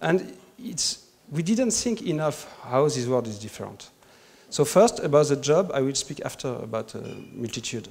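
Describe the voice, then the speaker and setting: The speaker talks with a French accent at a moderate pace. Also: man. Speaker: conference speaker. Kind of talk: formal presentation. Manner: hesitant, searching for words in English.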